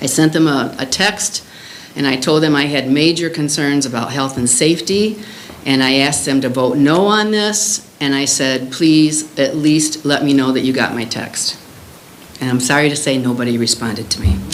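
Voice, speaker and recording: Over noticeable background noise and audible room echo, a woman with an American accent speaks at a very deep, low pitch. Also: lively intonation, moderate pace. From Illinois, US Midwest. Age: 70s. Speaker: resident making public comment. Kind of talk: public comment.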